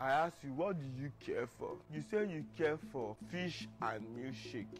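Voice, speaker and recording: With noticeable background noise behind him, a man speaks at a moderate pace with lively intonation. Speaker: comedy skit actor. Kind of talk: comic skit monologue. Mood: mock scolding, animated. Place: street. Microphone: lapel.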